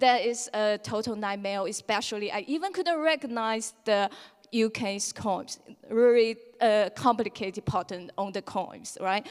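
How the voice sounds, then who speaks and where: Speaking with a Chinese accent, a woman's voice sits fairly high. Her pitch varies an ordinary amount at a fairly slow pace. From China. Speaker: lightning talk speaker. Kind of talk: conference talk. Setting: stage with audience.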